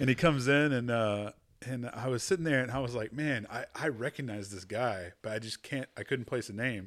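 In a Texan accent, a man speaks at a medium pitch with ordinary pitch variation and a fairly quick pace. The recording is very clean, with a silent background. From Texas. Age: 30s. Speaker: podcast host. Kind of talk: casual chat. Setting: studio.

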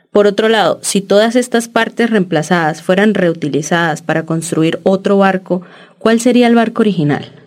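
This is an unremarkable speaking voice with ordinary pitch variation. It moves at a moderate pace with very even loudness. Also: woman, medium pitch for a woman. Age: 30s. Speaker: podcast co-host, architecture student. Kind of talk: casual chat.

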